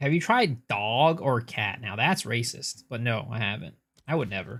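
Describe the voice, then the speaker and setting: A man at medium pitch speaks at a moderate pace with lively intonation on a very clean recording with a silent background. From United States. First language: Cantonese. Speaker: video game streamer. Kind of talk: live stream chat.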